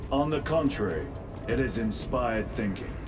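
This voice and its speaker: A man's put-on character voice at a medium pitch, over loud background noise. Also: moderate pace. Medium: video game. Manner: calm, terse.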